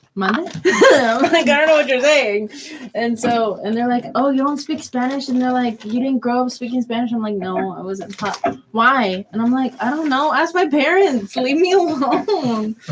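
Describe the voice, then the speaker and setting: Against noticeable background noise, a woman with an American accent speaks at a moderate pace in a high pitch with lively intonation. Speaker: college student radio host. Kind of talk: casual chat.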